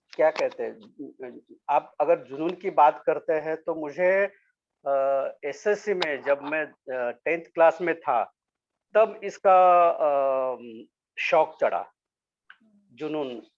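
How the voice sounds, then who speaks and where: The speech has ordinary pitch variation and long, frequent pauses. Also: man, fairly high pitch for a man. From Maharashtra, India (Solapur). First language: Marathi (speaking Hindi). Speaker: sculptor. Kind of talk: interview. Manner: halting, many fillers; polite, humble.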